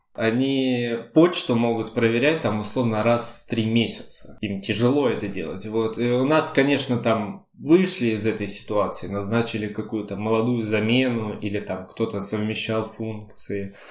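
Audible room echo surrounds a man at a medium pitch who speaks with ordinary pitch variation and hardly any pauses. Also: moderate pace. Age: 20s. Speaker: podcast co-host. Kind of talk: casual chat.

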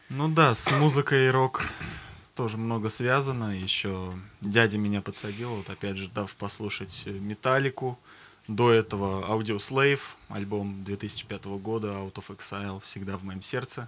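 A man talks in an ordinary speaking voice at a fairly slow pace. His pitch is fairly low, with ordinary pitch variation. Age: 20s. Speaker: bass player. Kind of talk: casual interview chat.

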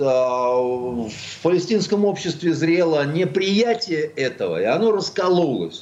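Over noticeable background noise, a man with a high pitch talks at a very slow pace with hardly any pauses and very even loudness. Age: 60s. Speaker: writer and journalist. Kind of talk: radio talk show interview.

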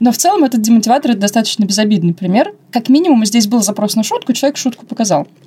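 Over noticeable background noise, the speaker races along at a very fast pace with lively intonation, hardly any pauses and very even loudness. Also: woman, fairly high pitch for a woman. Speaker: podcast co-host, customer service specialist. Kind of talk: casual chat. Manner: mumbling. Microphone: wrongly assembled mic, muffled sound.

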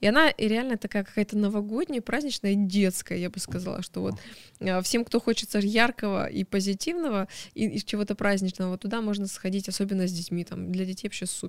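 Energetic in tone, a woman talks at a fairly quick pace with a medium pitch and ordinary pitch variation. The recording is very clean, dry and close, with no echo and a silent background. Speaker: deputy museum director. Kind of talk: interview. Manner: talkative, energetic; animated.

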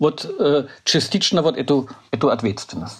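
A man with a German accent against a quiet background. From Germany. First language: German (speaking Russian). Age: 60s. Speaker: political scientist. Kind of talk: interview. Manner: halting.

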